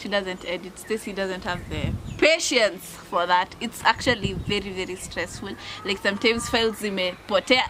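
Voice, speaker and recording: A woman with a medium pitch keeps a moderate speed as noticeable background noise carries on behind her. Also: ordinary pitch variation. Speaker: YouTuber. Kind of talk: casual chat. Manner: code-switching English and Swahili.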